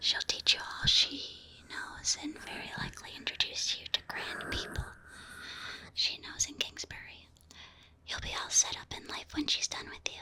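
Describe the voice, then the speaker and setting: Over noticeable background noise, a woman whispers at a moderate pace with long, frequent pauses and big swings in loudness. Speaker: vtuber ASMR streamer. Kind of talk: audiobook-style narration with character dialogue. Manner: soft-spoken, whispering.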